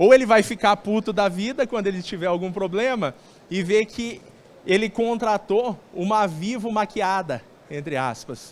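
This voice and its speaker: In a Brazilian countryside accent, a man talks in an animated tone at a high pitch with ordinary pitch variation and a fairly slow pace. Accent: noticeable Brazilian countryside. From Brazilian interior. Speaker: sales speaker at telecom event. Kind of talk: conference talk. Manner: conversational, animated.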